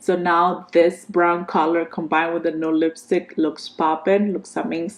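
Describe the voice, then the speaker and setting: A woman speaks at a medium pitch and a fairly slow pace. Noticeable background noise is present. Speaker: beauty vlogger. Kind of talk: casual product review. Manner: animated.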